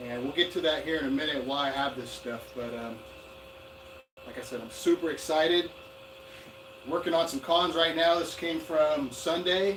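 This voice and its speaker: With long, frequent pauses, a man speaks at a moderate pace in a fairly high voice, his loudness swinging a lot and his pitch varying in an ordinary way, over audible room echo and noticeable background noise. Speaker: gold prospecting YouTuber. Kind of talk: live stream unboxing. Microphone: far from camera mic.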